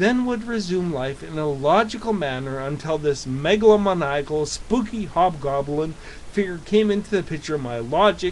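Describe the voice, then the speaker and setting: Lively intonation from a man, with noticeable noise behind him. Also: moderate pace. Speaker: atheist vlogger. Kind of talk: reading aloud. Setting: in front of a camera. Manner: halting.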